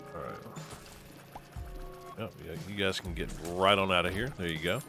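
A man's very deep, low voice with a Southern US accent, ordinary pitch variation and a moderate pace, with music in the background. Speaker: gaming YouTuber. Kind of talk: casual gameplay commentary.

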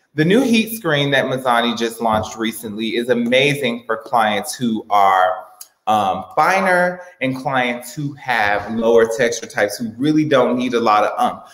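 In a room with audible echo, a man speaks at a medium pitch and a fairly slow pace. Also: ordinary pitch variation. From Chicago. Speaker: hairstylist and salon owner; hair stylist educator. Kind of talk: tutorial. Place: studio.

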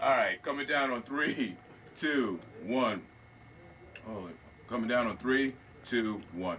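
Against light background noise, a man talks at a very slow pace with long, frequent pauses. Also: ordinary pitch variation. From Long Island, New York. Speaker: TV show host. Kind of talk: interview. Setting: studio. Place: studio. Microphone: handheld.

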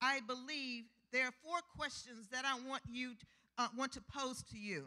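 Over a quiet background, a woman speaks in a high voice with a bright, sharp tone. Her pace is moderate and her pitch varies in an ordinary way. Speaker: preacher. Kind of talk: sermon. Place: church. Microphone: handheld.

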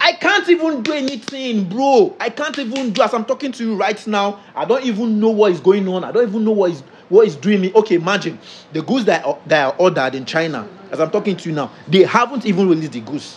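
A man's high voice with very wide pitch swings, fairly quick and with hardly any pauses, over light background noise. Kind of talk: acted dramatic complaint. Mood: agitated, pleading. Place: home room.

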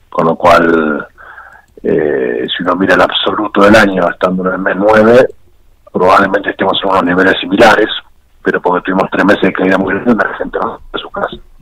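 A man's very deep, low voice at a fairly quick pace, with ordinary pitch variation and noticeable background noise. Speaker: former security official. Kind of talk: phone interview.

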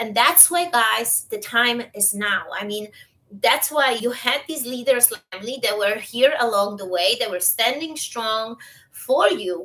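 Speaking with a non-native accent, a woman uses lively intonation at a fairly high pitch. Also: fairly slow pace. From Europe, foreign-born. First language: not English. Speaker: motivational coach. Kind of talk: motivational talk. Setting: live video stream. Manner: animated. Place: home room. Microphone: webcam.

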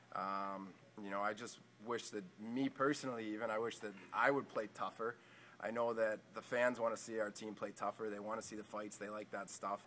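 A man with an American accent speaks at a fairly quick pace and fairly low pitch, in monotone, flat intonation. Music plays in the background. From Boston area, US. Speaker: pro ice hockey player. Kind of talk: casual interview.

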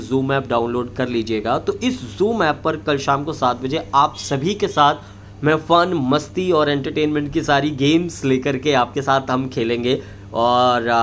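A man speaks at a fairly slow pace with ordinary pitch variation and light background noise. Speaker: video creator. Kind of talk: casual vlog announcement. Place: home room.

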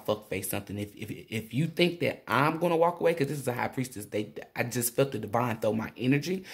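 Against a quiet background, a somewhat breathy man speaks at a very fast pace with lively intonation and hardly any pauses. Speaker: tarot reader. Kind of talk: tarot reading commentary. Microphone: phone near.

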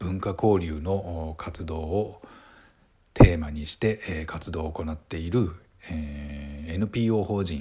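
A man's very deep, low voice, dark and mellow and somewhat breathy, very slow, with ordinary pitch variation and big swings in loudness. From Japan, Saitama. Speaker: actor and YouTuber. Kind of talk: casual monologue to camera. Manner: hesitant with many fillers; polite, formal.

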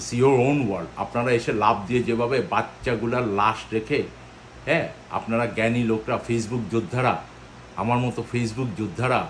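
In a normal speaking voice, a man talks at a medium pitch with fairly even intonation over light background noise. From Bangladesh. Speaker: diaspora commentator, former army officer; diaspora commentator. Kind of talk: video monologue. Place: home room.

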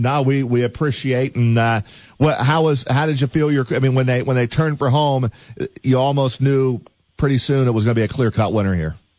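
The speaker has a plain, everyday voice. The pace is fairly quick, with ordinary pitch variation and very even loudness. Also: man, medium pitch for a man. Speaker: radio show host. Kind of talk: radio interview questions.

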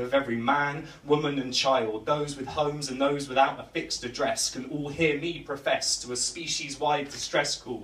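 Audible room echo surrounds a man who speaks at a moderate speed. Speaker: spoken word poet. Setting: stage with audience at a live poetry night. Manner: rhythmic, building urgency with internal rhymes and rhetorical questions; hesitant, filler-laden asides between poems. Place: bar. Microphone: camera far.

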